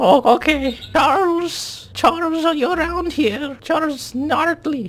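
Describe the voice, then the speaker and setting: Using a put-on character voice, a man speaks at an extremely high pitch and a fairly slow pace. Light background noise sits behind him. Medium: actual play. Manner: quavering, plaintive.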